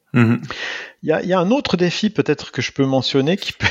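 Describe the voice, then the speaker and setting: A man's voice at a moderate pace with lively intonation, an unremarkable speaking voice. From Switzerland, canton of Neuchâtel. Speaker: physics professor, atomic clock specialist. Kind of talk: interview.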